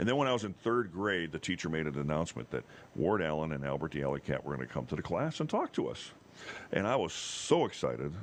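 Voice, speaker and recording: Very deep and low in pitch, a man talks at a very fast pace with an animated tone. His intonation is lively, and noticeable background noise can be heard. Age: 60s. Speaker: TV meteorologist. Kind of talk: casual chat. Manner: animated storytelling.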